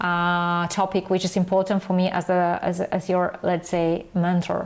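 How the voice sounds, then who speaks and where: Speaking with a non-native accent, a woman keeps an unhurried, middling tempo. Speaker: photography mentor. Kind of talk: online class sales pitch. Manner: halting.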